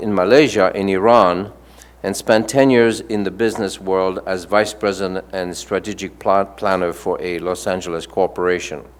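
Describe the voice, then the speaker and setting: A man with a strong French accent, fairly low in pitch, at a moderate pace with hardly any pauses. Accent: thick French. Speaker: panel moderator. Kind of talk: reading aloud panelist bios. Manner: halting, frequent stumbles and fillers.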